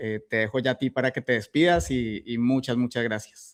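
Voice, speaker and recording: With a Colombian accent, a man of medium pitch talks at a moderate pace against a quiet background. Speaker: podcast host. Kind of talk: interview.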